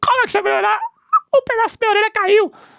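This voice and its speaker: In a put-on character voice, a man rattles along at a very fast pace, squeaky and extremely high in pitch. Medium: solo performance.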